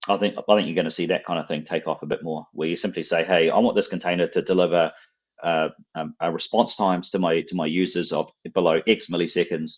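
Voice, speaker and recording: A man speaks with a strong New Zealand accent in a very deep, low voice. His pace is very fast, and his intonation stays fairly even. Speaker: software company representative. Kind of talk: technical interview on live stream. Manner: repetitive, stammering restarts.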